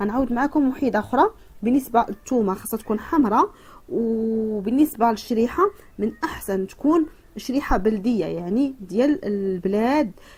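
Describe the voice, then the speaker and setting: Speaking with a Moroccan accent, a woman with a fairly high pitch talks at a moderate pace with lively intonation. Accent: Moroccan Darija dialect. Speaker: cooking and home remedy youtuber. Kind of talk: tutorial. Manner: halting, many fillers.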